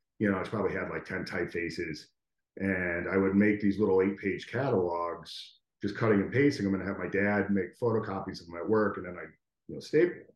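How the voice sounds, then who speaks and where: In an ordinary speaking voice, a man with an American accent talks at a fairly quick pace and a fairly low pitch, with ordinary pitch variation and big swings in loudness. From US Northeast, Connecticut. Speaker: graphic designer and educator. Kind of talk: casual interview.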